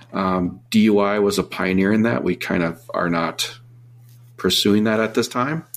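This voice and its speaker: A man with an American accent talks at a moderate pace in a fairly low pitch. He has a plain, everyday voice and ordinary pitch variation. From Minnesota. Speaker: dive equipment company employee and co-host. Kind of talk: casual chat.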